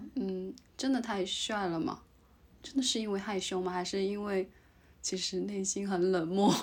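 A woman talks at a moderate pace and medium pitch, with ordinary pitch variation. Her speech has long, frequent pauses. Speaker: podcast co-host, graduate student in Japan. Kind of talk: casual chat.

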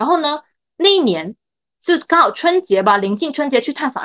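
A woman at a fairly quick pace with very wide pitch swings, dry, close sound with no echo, and a quiet background. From Chaoshan, Guangdong. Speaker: medical social worker. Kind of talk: casual interview. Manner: halting, many fillers.

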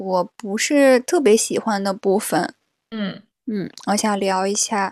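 A woman speaks very slowly at a fairly high pitch with ordinary pitch variation. The background is quiet and the sound dry and close with no echo. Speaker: podcast co-host. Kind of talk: casual chat.

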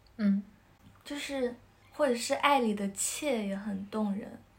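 This woman speaks at a fairly slow pace. Her voice is somewhat breathy and fairly high in pitch. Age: 20s. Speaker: episode host on a friends' podcast. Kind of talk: casual chat. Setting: in-person recording, three people face to face.

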